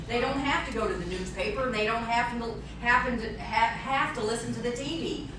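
A woman speaks at a high pitch, with noticeable background noise and audible room echo. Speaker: speaker. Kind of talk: talk with audience Q&A. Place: hall. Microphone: camera far.

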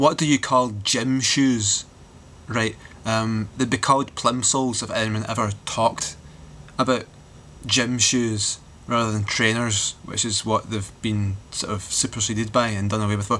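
A man's bright, sharp tone comes through at a fairly slow pace, his intonation fairly even over light background noise. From Glasgow, Scotland. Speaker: vlogger. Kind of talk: casual talk to camera. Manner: rambling, sardonic. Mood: wry, joking. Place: home room. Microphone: webcam.

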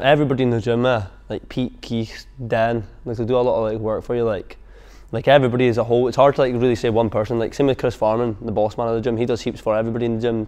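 A man talks very fast in a dark, mellow tone with fairly even intonation over a quiet background. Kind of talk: interview answer. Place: gym.

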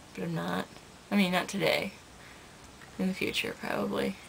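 A woman with noticeable background noise. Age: 20s. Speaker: first-time vlogger. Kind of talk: casual talk to camera. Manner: casual, chatty. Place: home room. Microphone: webcam.

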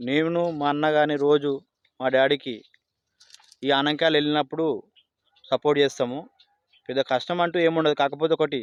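Speaking at a fairly high pitch, a man keeps a monotone, flat intonation and very even loudness. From Telangana, Rangareddy district. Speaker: part-time farmer. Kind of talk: casual testimony.

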